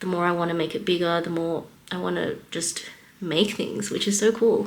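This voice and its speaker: Audible room echo surrounds a woman with an Australian accent who speaks at a fairly low pitch and moderate pace with fairly even intonation. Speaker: vlogger and small business artist. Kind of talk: casual vlog monologue.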